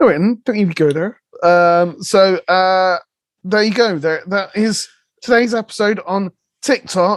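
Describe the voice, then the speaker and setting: The voice has a West Country accent and a fairly slow pace. The background is quiet. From West Country, England. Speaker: podcast co-host. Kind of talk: casual chat.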